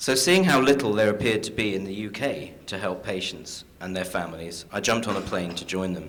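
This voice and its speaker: An English-accented man at a fairly quick pace, fairly low in pitch, lively intonation, audible room echo around him. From London, England. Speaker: caregiver and patient advocate. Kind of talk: conference talk.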